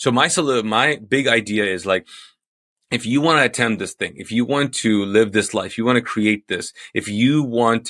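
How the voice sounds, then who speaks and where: A man with a non-native accent and a bright, sharp tone, medium in pitch with ordinary pitch variation, in a dry, close sound with no echo on a very clean recording with a silent background. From Kuwait, Pakistani family. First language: not English. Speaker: pastor and author. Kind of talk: podcast interview. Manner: halting, many fillers and restarts.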